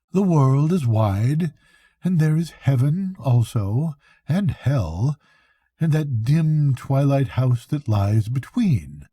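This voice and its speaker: A man's put-on character voice at medium pitch and a very slow pace. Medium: read story.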